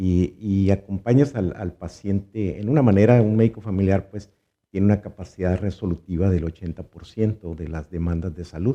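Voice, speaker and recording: With a dark, mellow tone, the voice moves at a moderate pace through big swings in loudness. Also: man, fairly low pitch for a man, ordinary pitch variation. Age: 60s. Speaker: physician. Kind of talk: interview. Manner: halting, with many fillers and repetitions.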